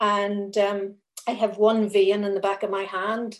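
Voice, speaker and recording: A woman speaks at a medium pitch with a Northern Irish accent. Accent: Northern Irish (Belfast). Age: 50s. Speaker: thalidomide survivor. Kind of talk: testimony.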